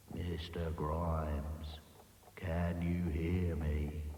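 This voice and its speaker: In a put-on character voice, a man talks very slowly at a very deep, low pitch with monotone, flat intonation, a slight echo, and clear background noise behind him. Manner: soft; whispering near an ear.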